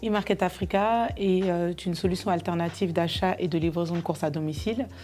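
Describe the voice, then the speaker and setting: A woman speaks in a fairly low pitch. Her pace is moderate, with ordinary pitch variation. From France, Paris region, of Malian parents. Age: 30s. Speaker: entrepreneur. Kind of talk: interview testimony. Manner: halting, many filler sounds.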